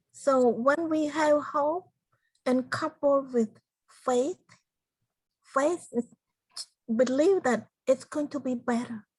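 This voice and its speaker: Speaking in a Cambodian accent, a woman uses a high pitch with ordinary pitch variation, moving at a very slow pace with long, frequent pauses. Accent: Cambodian (Khmer). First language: Khmer. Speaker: genocide survivor and motivational speaker. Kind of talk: interview.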